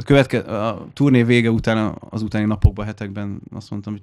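A man with a plain, everyday voice, fairly low pitch, fairly even intonation and a fairly quick pace. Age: 30s. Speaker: musician, keyboard player in a metal band. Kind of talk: casual chat. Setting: studio.

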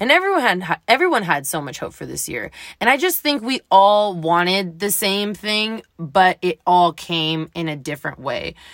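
Recorded very cleanly with a silent background and a dry, close sound with no echo, a woman with a plain, everyday voice speaks at a moderate pace and medium pitch, with lively intonation and big swings in loudness. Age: 20s. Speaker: solo podcaster. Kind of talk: casual monologue. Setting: home recording, night after work. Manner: casual, filler-heavy.

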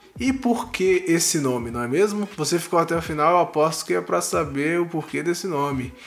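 With hardly any pauses, a man speaks at a high pitch using lively intonation. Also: fairly quick pace. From Brasília, Brazil. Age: 20s. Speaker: podcast host and instructional designer. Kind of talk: casual solo podcast monologue. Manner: animated.

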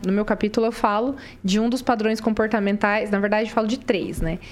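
A woman speaks at a fairly quick pace. Hers is an unremarkable speaking voice, fairly high in pitch. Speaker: career mentor. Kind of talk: podcast interview.

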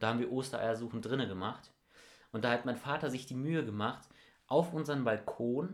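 A man's animated voice at a moderate pace. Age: young (19). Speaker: podcast co-host, school student. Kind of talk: casual chat.

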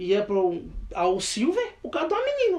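Pitch swinging very widely, a man speaks at a very fast pace. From Brazil, Minas Gerais. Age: 20s. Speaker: worship leader and rapper. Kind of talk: casual chat.

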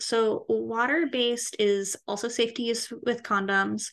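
A woman with an unremarkable speaking voice talks at a moderate pace and a fairly high pitch. Her intonation is lively, and the background is quiet. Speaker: podcast co-host. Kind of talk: casual chat.

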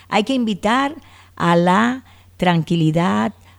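A woman talks at a fairly slow pace in a dark, mellow tone. Her pitch swings very widely. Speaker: speech therapist and clinical psychologist. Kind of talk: interview.

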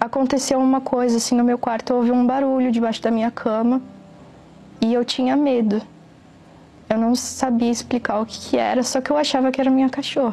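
A woman speaks in a high pitch at a fairly quick pace, her intonation monotone and flat. Long, frequent pauses break up her speech. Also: very even loudness. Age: 20s. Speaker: photographer giving a religious testimony. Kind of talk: testimony.

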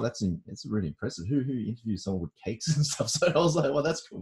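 A man's voice, dark and mellow in tone and somewhat breathy, moves with lively intonation. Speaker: podcast host. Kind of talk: interview. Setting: video call. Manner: casual, friendly.

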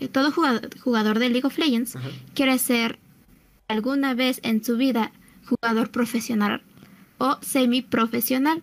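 A woman's high-pitched voice with fairly even intonation, set against noticeable background noise. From Mexico City. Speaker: gamer and cosplayer. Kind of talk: casual chat.

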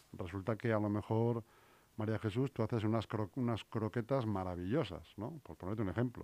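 Recorded very cleanly against a silent background, the sound is dry and close with no echo. A man talks at a fairly quick pace in a dark, mellow tone, fairly low in pitch, with ordinary pitch variation. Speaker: local radio host. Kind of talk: radio interview. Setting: studio.

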